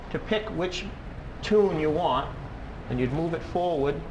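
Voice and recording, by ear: A man talks slowly at a fairly high pitch, with ordinary pitch variation. Faint background noise sits behind him.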